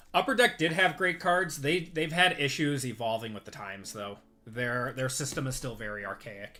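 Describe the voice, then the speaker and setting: Bright and sharp in tone, a man speaks at a medium pitch and moderate pace with lively intonation. He talks with a strong Midwestern accent. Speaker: sports card breaker, livestream host. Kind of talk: live stream card break commentary with chat. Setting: live stream.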